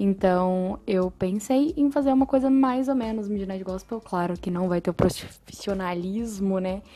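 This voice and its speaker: With hardly any pauses, a woman talks at a moderate pace in a dark, mellow tone of medium pitch and ordinary pitch variation. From Brazil, São Paulo. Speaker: podcast host. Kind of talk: casual monologue.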